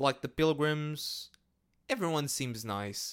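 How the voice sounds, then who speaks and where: Intonation here is lively. The pace is very slow. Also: man, very clean recording, silent background. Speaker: solo podcast host. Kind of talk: casual solo monologue. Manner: rambling with many fillers and repetitions.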